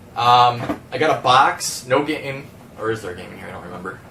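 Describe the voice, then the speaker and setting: A man talks at a medium pitch, with noticeable background noise around him. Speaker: game collector YouTuber. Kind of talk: casual video haul showcase. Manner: fast; hesitant, many fillers.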